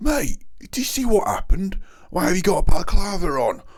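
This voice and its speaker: Using a put-on character voice, a man talks at a fairly quick pace in a high pitch with very wide pitch swings. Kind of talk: audiobook narration. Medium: read story.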